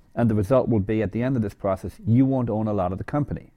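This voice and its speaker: A man with an American accent speaks very fast in a dark, mellow tone at a fairly low pitch, with ordinary pitch variation against a quiet background. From Ireland. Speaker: venture capitalist. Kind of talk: interview. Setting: office.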